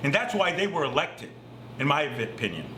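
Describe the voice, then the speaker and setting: Over noticeable background noise and audible room echo, a man with an American accent talks at a very fast pace with lively intonation. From Massachusetts, US. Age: 60s. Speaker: climate activist. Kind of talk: recorded statement. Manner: impassioned.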